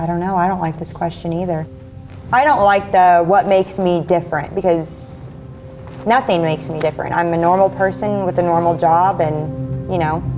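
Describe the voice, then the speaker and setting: With music playing behind her, a woman speaks at a moderate pace in a rural Midwestern accent. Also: ordinary pitch variation. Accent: Midwestern American rural. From northwest Missouri. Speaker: farmer and rancher. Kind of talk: interview answer.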